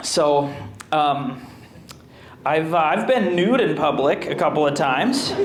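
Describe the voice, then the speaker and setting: With an American accent, a man speaks at a fairly slow pace with lively intonation, very even loudness and long, frequent pauses, over noticeable background noise with audible room echo. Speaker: comedian. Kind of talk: stand-up. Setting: stage with audience.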